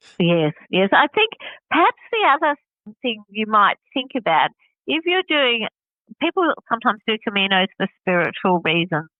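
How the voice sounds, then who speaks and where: A woman with an Australian accent speaks at a moderate pace and a fairly high pitch. Her pitch swings very widely, broken by long, frequent pauses. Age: 60s. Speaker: hiker. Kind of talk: interview.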